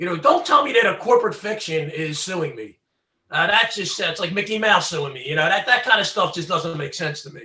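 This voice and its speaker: With a Philadelphia accent, a man speaks at a fairly quick pace in a raised, projected, high-pitched voice with a bright, sharp tone. His intonation is lively and his loudness swings a lot. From Philadelphia, Pennsylvania. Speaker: former recording engineer, legal activist. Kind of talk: interview.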